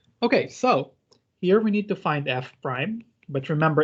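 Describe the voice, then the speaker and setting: With an unremarkable speaking voice, a man talks in a fairly high register. His intonation is lively and his pace moderate. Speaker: teaching assistant. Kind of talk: online math lab tutorial. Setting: video call.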